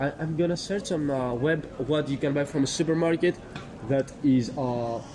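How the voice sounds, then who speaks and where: A man talks at a moderate pace with a fairly high pitch and ordinary pitch variation. Noticeable background noise sits behind him. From Greece. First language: Greek. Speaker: passerby interviewed on the street. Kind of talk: street conversation. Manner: halting.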